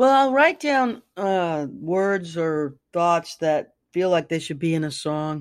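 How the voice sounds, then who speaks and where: Very slowly, a woman speaks in a fairly low voice with lively intonation. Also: hardly any pauses. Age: 60s. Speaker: singer-songwriter and author. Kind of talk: casual interview. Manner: halting, many fillers.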